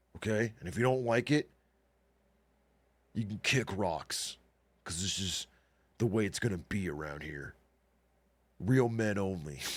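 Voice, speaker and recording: In a very clean recording with a silent background, a man puts on a character voice at a fairly low pitch, moving at a moderate pace with lively intonation. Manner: aggressive, defiant, exaggerated.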